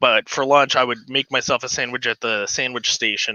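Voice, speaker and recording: At a moderate pace, a man is talking. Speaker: model railroad live streamer. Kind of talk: casual live stream chat. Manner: gets higher-pitched when excited; hesitant, many fillers.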